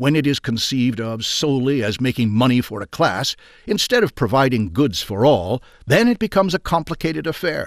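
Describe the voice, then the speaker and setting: Vocal fry marks this man's speech. He keeps a moderate pace while his pitch swings very widely. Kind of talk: audiobook reading aloud of a 1920s industrialist's essay. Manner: formal, measured, steady narrator pace.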